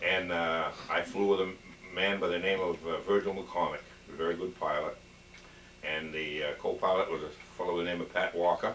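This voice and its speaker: Amid noticeable background noise, a man with a very deep, low pitch speaks at a moderate pace with fairly even intonation and long, frequent pauses. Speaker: war veteran. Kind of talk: oral history interview. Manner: halting.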